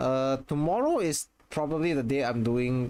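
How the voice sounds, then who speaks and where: A man with a strong Singaporean accent speaks with ordinary pitch variation. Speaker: video game streamer. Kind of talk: casual live stream chat. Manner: hesitant, many repetitions and fillers.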